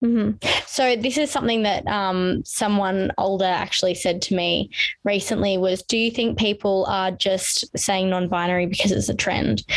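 A woman in an Australian accent, with fairly even intonation and very even loudness. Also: medium pitch for a woman, moderate pace, hardly any pauses. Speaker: podcast host. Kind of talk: casual interview chat.

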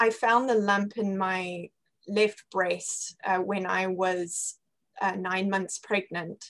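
A woman's bright, sharp, medium-pitched voice with a British accent at a very slow pace. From Zimbabwe. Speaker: cancer survivor. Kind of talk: reading aloud.

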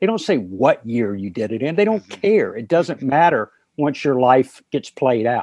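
A man with an American accent speaks at a medium pitch and a moderate pace in a plain, everyday voice. The sound is dry and close with no echo, over a quiet background. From North Carolina. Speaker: guitarist and author. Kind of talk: interview. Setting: phone call.

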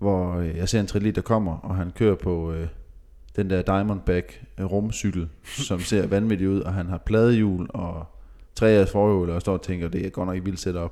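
A man speaks at a fairly slow pace with a very deep, low pitch and a dark, mellow tone. His intonation is fairly even, and the recording is very clean with a silent background. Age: 20s. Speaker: professional racing cyclist. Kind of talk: casual chat.

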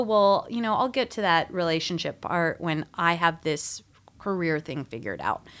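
An ordinary speaking voice from a woman, fairly low in pitch with lively intonation, in a very clean recording with a silent background. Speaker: returning podcast guest. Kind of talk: casual chat.

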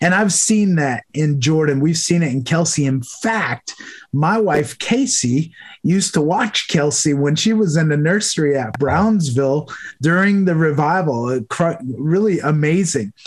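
A man's fairly high voice with an American accent, lively intonation, a warm, enthusiastic tone and very even loudness. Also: fairly slow pace. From New York. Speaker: podcast host. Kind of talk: interview.

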